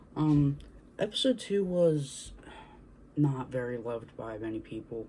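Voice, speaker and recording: A man's somewhat breathy voice. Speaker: video creator. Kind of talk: casual chat. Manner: halting.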